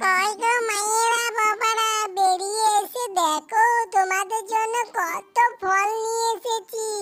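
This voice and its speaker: Music in the background accompanies a woman doing a cartoonish character voice at an extremely high pitch. She speaks at a very slow pace. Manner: polite, addresses people as mother and father.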